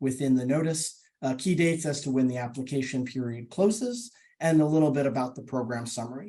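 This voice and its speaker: Speaking at a fairly quick pace with an American accent, a man has a dark, mellow tone. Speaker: government grant program official. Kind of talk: webinar presentation. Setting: online webinar. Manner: fast; filler-heavy, repetitive.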